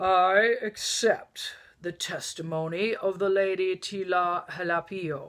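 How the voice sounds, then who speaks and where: Putting on a booming character voice, a woman speaks at a fairly slow pace. Her medium pitch stays fairly even in intonation. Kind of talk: formal, regal.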